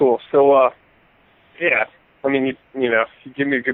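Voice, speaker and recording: Someone speaks at a fairly quick pace with an American accent. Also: man. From Maryland, near Washington D.C. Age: 20s. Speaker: deer hunter. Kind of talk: casual podcast interview. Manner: halting, many fillers.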